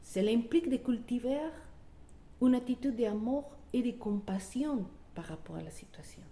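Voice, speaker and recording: A woman with a non-native accent speaks at a high pitch and a moderate pace, with long, frequent pauses and big swings in loudness. Noticeable background noise runs behind her. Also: ordinary pitch variation. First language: not French (speaking French). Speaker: wellbeing coach. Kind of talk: motivational talk. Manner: halting.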